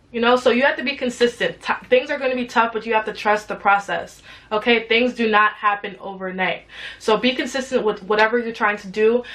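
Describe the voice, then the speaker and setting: Noticeable background noise surrounds this woman's fairly high voice. She speaks at a fairly quick pace. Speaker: YouTuber and entrepreneur. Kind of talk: motivational talk to camera. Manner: animated.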